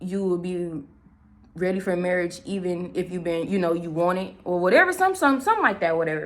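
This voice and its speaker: A woman speaks at a fairly quick pace in an animated tone. Her pitch is medium, and the room echo is audible. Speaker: spiritual channeler, vlogger. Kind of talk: casual channeled-message vlog. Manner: fast.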